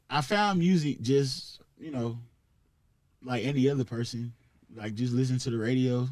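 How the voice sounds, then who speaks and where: A man with a Southern accent speaks at medium pitch and a moderate pace, with ordinary pitch variation. Long, frequent pauses run through his speech. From US South, Columbus, Georgia. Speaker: rapper. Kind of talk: casual chat. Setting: studio.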